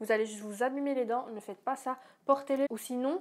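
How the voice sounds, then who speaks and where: High pitch for a woman, with fairly even intonation. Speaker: YouTuber. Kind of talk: casual vlog. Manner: fast.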